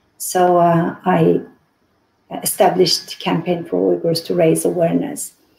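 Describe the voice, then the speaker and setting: Fairly slow, fairly even speech from a woman in a Xinjiang accent, dark and mellow in tone, with vocal fry. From Urumqi, Xinjiang. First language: Uyghur. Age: 50s. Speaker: activist. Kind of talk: interview. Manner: halting.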